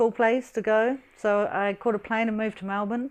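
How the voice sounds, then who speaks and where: A woman with a New Zealand accent speaks at a moderate pace in a fairly high pitch, her intonation monotone and flat, against a quiet background. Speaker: English teacher. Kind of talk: interview answer. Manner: hesitant, casual.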